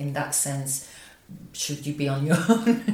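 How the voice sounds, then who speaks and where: Audible room echo and noticeable background noise around a woman's very deep, low voice at a moderate pace. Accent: French. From France. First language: French. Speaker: business coach and company founder. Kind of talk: casual chat.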